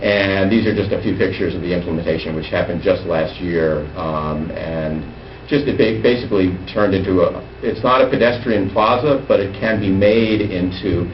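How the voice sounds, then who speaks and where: Someone talks at a fairly quick pace with ordinary pitch variation, amid noticeable background noise and audible room echo. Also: man. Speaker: transportation planning presenter. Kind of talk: presentation to town council. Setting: council chambers meeting. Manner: fast.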